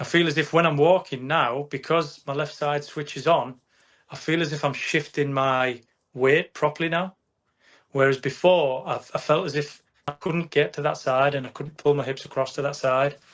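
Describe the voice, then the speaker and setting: With a northern English accent, a man speaks at a fairly high pitch and a moderate pace, his intonation fairly even. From northern England. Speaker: patient. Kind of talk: testimony. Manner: halting.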